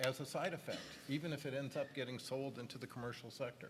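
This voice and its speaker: With a Canadian accent, a man talks fairly quickly at a medium pitch in a plain, everyday voice. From Canada. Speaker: tech industry executive on a panel. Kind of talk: panel discussion.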